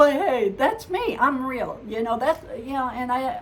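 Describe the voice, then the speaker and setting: Room echo is audible as a woman speaks. Her intonation is lively and her pace moderate. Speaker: psychic medium vlogger. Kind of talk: casual vlog monologue. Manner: halting, stumbles over words.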